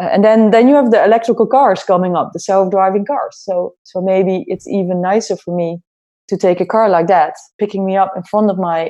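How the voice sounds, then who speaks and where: A woman with a Dutch accent speaks at a fairly quick pace. Her medium pitch shows ordinary variation. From Netherlands. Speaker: head of innovation at an airline. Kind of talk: interview.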